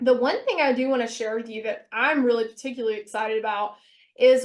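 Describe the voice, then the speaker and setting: Speaking at a very fast pace, a woman uses a high pitch with ordinary pitch variation. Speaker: business owner and webinar presenter. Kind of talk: webinar presentation. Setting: webinar.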